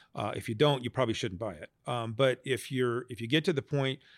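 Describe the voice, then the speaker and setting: Speaking at a fairly quick pace, a man with an American accent has a medium pitch. His is a plain, everyday voice. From Las Vegas, Nevada. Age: 50s. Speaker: business owner and accountant. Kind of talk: interview.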